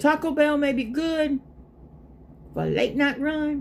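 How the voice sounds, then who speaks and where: Somewhat breathy, a woman with a Southern US accent talks at a fairly slow pace. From US South, South Carolina. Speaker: live streamer. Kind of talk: casual chat.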